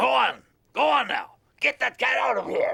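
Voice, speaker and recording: Using a put-on character voice, a man sounds raspy at a moderate pace. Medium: cartoon. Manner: pompous, indignant.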